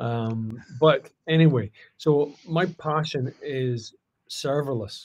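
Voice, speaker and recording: A somewhat breathy man with a Scottish accent and ordinary pitch variation. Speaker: cloud customer engineer. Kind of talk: tech talk.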